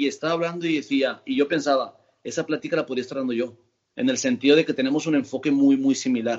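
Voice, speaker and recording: A man talks at a very fast pace with a fairly high pitch and ordinary pitch variation. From Spain, Barcelona. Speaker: physiotherapist and osteopath. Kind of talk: casual interview.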